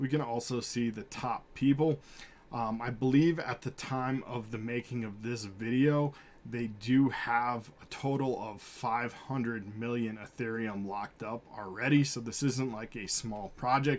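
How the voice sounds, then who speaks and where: A man's medium-pitched voice with fairly even intonation. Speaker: crypto YouTuber. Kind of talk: screen-share tutorial. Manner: fast; casual with frequent fillers.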